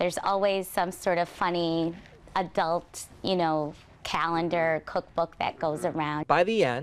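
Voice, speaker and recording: Over light background noise, the speech moves at a fairly slow pace with fairly even intonation and very even loudness. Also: woman, fairly low pitch for a woman. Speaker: interviewee. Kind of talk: interview answer. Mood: warm, amused. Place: garden. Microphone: lapel.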